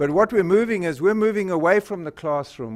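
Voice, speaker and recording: The recording is very clean, with a silent background. A man talks with lively intonation. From Northern Rhodesia (Zambia), southern Africa. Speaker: company presenter, physician and entrepreneur. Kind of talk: presentation to a school board. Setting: public board meeting. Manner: hesitant, many filler words.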